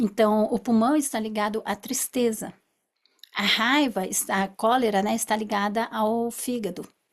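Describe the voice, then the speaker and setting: With fairly even intonation, an unremarkable speaking voice moves along at a fairly slow pace. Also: woman. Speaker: therapist. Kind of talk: lecture.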